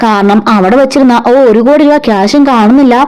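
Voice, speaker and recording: A woman against noticeable background noise. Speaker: voiceover storyteller. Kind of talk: serial story recap narration. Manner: casual, chatty.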